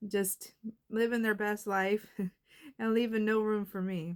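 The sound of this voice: Her tone clear and smooth, a woman reads at a slow pace with a medium pitch and fairly even intonation.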